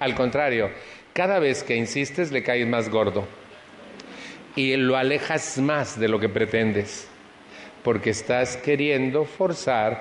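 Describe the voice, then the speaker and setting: A man with a Mexican accent, medium pitch and ordinary pitch variation, very slow pace, over noticeable background noise. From Mexico City. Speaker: recovery support group speaker. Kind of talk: personal testimony talk to an audience.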